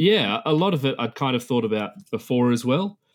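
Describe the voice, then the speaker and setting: A man speaks with lively intonation and an Australian accent. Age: 30s. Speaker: history teacher. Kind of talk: casual interview. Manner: hesitant, repeats words.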